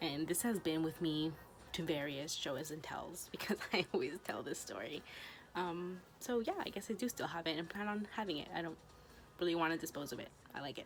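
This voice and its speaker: Through noticeable background noise, a woman talks at a fairly quick pace in a fairly low voice with ordinary pitch variation. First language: Spanish. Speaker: vlogger, law school applicant. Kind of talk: casual chat. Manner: casual, filler-heavy.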